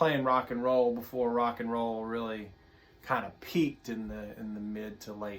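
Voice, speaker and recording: A man speaks with a Tennessee accent and fairly even intonation. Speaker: guitar teacher. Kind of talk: tutorial. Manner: relaxed; halting.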